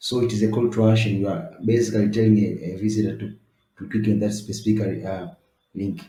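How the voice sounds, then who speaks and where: A man with an East African accent, fairly low in pitch, somewhat breathy, with a dark, mellow tone, fairly even intonation and audible room echo. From East Africa (Swahili-speaking country). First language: Swahili. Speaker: web design tutor. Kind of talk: tutorial. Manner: halting, many fillers.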